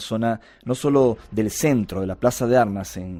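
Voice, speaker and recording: In a Lima accent, a man speaks at a medium pitch with a dark, mellow tone and ordinary pitch variation, captured in a very clean recording with a silent background. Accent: Lima Peruvian Spanish. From Peru, Lima. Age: 40s. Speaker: UFO contactee and researcher. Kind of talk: interview.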